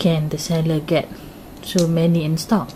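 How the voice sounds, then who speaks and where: A woman with a Malaysian accent, fairly low in pitch and fairly slow in pace, against noticeable background noise. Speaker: YouTuber, K-pop fan. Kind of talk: unboxing vlog. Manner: hesitant, many fillers.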